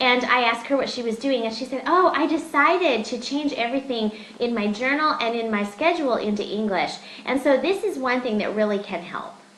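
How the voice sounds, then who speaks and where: The delivery moves at a fairly quick pace. Noticeable background noise and audible room echo are present. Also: woman, high pitch for a woman. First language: Russian. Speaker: English teacher. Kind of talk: webinar discussion. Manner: hesitant, with fillers.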